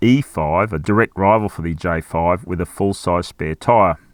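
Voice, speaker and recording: With an Australian accent, a man speaks at a moderate pace and ordinary pitch variation in a very clean recording with a silent background and a dry, close sound with no echo. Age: old. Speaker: car reviewer. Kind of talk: product review.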